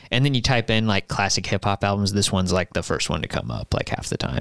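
A man's fairly low voice in a very clean recording with a silent background. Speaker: podcast host. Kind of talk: casual chat. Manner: casual, profane.

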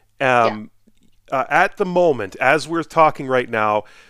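Speaking at a moderate pace with an Albertan accent, a man uses a medium pitch and lively intonation on a very clean recording with a silent background. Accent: Canadian (Alberta). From Edmonton, Alberta. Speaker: podcast host. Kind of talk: casual interview.

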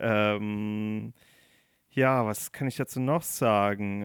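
The intonation here stays fairly even. The speaker is a man. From Rhineland-Palatinate, Germany. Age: 20s. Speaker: podcast host, political scientist. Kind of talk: casual chat.

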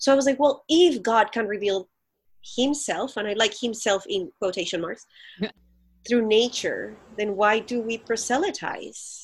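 Here a woman speaks with a Colombian accent. Her pitch is fairly high. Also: ordinary pitch variation, moderate pace. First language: Spanish. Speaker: pastor. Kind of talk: interview conversation. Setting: remote recording from home.

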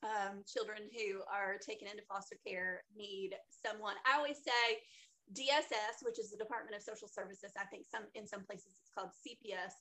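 A woman with a plain, everyday voice speaks at a moderate pace and fairly high pitch, with ordinary pitch variation and big swings in loudness. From US South. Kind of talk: casual interview chat.

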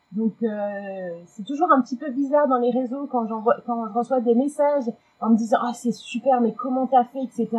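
A woman's high-pitched voice at a moderate pace, with fairly even intonation. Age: 40s. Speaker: communications agency employee, Instagram keto blogger. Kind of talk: testimony. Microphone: technical problem, low volume.

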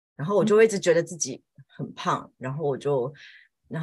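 A woman's pitch swings very widely as she speaks at a moderate pace in a somewhat breathy voice. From Taiwan. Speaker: homemaker and part-time Chinese teacher. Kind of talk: casual chat.

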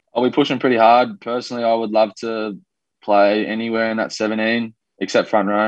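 Using an Australian accent, a man speaks at a medium pitch and a fairly quick pace with monotone, flat intonation. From Australia, raised from age two (born New Zealand). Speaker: professional rugby league player. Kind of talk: casual interview.

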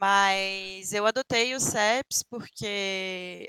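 A woman's fairly high, bright and sharp voice with lively intonation, in a dry, close sound with no echo. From Brasília, Brazil. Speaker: Apex Legends streamer. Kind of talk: casual interview. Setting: live stream.

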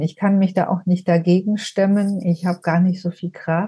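Somewhat breathy, a woman speaks at a moderate pace. Her tone is dark and mellow. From southern Germany (Ulm, Swabia). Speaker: trauma therapist and end-of-life companion. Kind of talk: personal testimony in interview.

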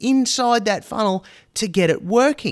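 Someone with an Australian accent speaks at a fairly slow pace with ordinary pitch variation, in dry, close sound with no echo on a very clean recording with a silent background. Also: man. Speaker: marketing podcast host. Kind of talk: solo podcast monologue.

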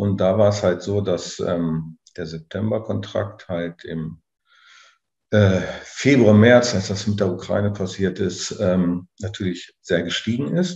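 Over a quiet background, a man speaks at a very slow pace in a very deep, low, somewhat breathy voice with fairly even intonation. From southern Lower Saxony, Germany. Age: 40s. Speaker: farmer. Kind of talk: interview. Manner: halting, many fillers and repetitions.

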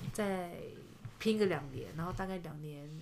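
With audible room echo around her, a woman speaks fairly slowly at a medium pitch and with fairly even intonation. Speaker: kindergarten teacher. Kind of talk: casual chat.

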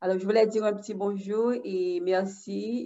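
Very slowly, a woman talks at a medium pitch. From Haiti. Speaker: elementary school teacher. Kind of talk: casual chat.

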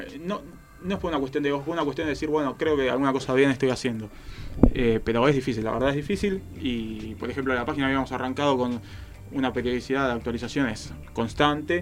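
Over background music, a man talks at a very fast pace with ordinary pitch variation. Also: medium pitch for a man. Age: 20s. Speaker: football commentator. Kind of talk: casual chat.

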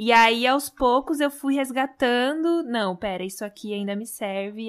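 Here a woman speaks in a high pitch with ordinary pitch variation. The recording is very clean, its background silent. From Brazil. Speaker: podcast host. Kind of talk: podcast interview.

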